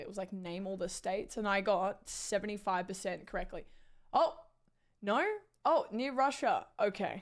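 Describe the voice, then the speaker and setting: A woman's animated voice at medium pitch, in an Australian accent, moving at a moderate pace with ordinary pitch variation on a very clean recording with a silent background. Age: 20s. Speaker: live streamer. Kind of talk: casual chat.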